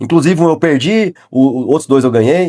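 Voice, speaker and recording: With a dry, close sound and no echo, a man talks at a moderate pace in a fairly high pitch. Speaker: sales consultant and business YouTuber. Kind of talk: tutorial. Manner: casual.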